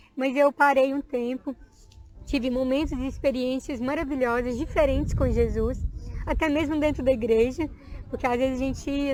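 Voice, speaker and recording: A woman talks at a high pitch and a moderate pace. Her intonation is monotone and flat. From Minas Gerais, Brazil. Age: 20s. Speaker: evangelical church member, dancer, teacher. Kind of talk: testimony.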